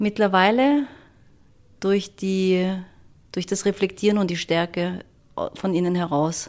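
Speaking at a very slow pace with long, frequent pauses, a woman uses a medium pitch with ordinary pitch variation. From Germany. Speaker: construction company executive. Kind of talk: interview. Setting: Vienna, view of skyline.

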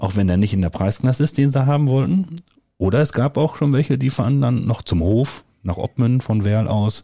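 A man's somewhat breathy voice stays very even in loudness while his intonation moves in a lively way. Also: medium pitch for a man, moderate pace. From Westphalia, Germany (near Soest). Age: 40s. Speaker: village head. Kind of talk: casual chat. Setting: at a kitchen table, in a home.

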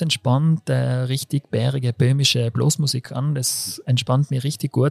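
The voice is dark and mellow, with fairly even intonation and a fairly slow pace, in a dry, close sound with no echo. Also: man. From South Tyrol (Brixen), Italy. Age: 30s. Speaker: physiotherapist. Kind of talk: casual chat. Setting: restaurant. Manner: loud.

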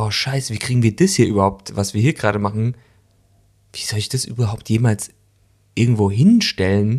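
On a very clean recording with a silent background, a man speaks in an animated tone at a fairly quick pace, somewhat breathy, with long, frequent pauses. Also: medium pitch for a man. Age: 40s. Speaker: actor and podcast co-host. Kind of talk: casual chat.

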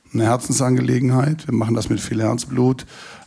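There is audible room echo around this man, whose intonation stays fairly even. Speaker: festival promoter. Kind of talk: live panel talk. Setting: stage with audience at a festival.

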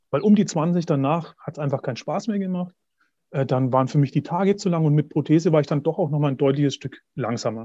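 Over a quiet background, a man with a fairly high pitch and a dark, mellow, somewhat breathy tone talks at a very fast pace with ordinary pitch variation. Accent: Franconian. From Middle Franconia, Bavaria. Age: 40s. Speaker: pilgrim and cancer survivor. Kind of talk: interview.

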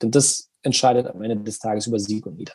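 This man's voice has a dark, mellow tone. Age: 40s. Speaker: esports company executive. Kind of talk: interview.

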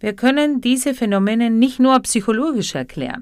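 A woman with a Spanish accent on a very clean recording with a silent background. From Argentina. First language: Spanish (speaking German). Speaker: psychotherapy practitioner and podcaster. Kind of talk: reflective monologue.

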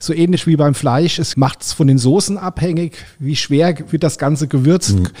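A man with a normal speaking voice, fairly high in pitch, with ordinary pitch variation and a moderate pace. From Rheinhessen, Germany. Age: 60s. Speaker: caterer and chef. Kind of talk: interview.

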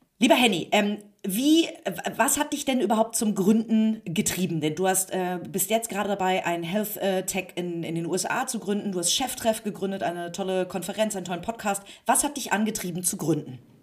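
At a moderate pace, a woman with a medium pitch speaks with lively intonation over noticeable background noise. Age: 30s. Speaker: magazine publisher and interviewer. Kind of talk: interview. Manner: hesitant with many fillers.

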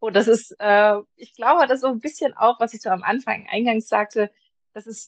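A woman speaks in an ordinary speaking voice, fairly high in pitch with ordinary pitch variation. The pace is moderate and the sound is dry and close with no echo. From Germany, Magdeburg. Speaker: publisher's blogger manager and video content creator. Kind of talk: casual interview.

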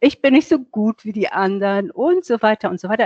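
Medium pitch from a female speaker, swinging very widely up and down. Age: 60s. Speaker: self-love and appearance coach. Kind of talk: interview.

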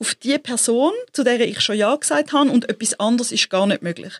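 A woman with a high voice is heard in a dry, close sound with no echo. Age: 40s. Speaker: entrepreneur and creative consultant. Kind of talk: interview conversation.

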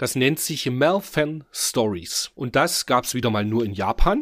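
In an unremarkable speaking voice, a man talks at a fairly slow pace with lively intonation, the sound dry and close with no echo. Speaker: podcast host. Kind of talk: casual chat.

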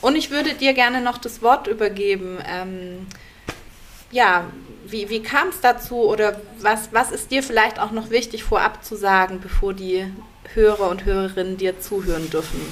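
The voice has ordinary pitch variation and a moderate pace. Noticeable background noise runs underneath. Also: woman, fairly high pitch for a woman. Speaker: podcast co-host. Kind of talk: casual chat.

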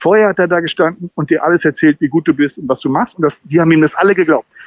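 The voice has ordinary pitch variation, and the sound is dry and close with no echo. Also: man. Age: 50s. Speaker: football commentator. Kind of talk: casual interview.

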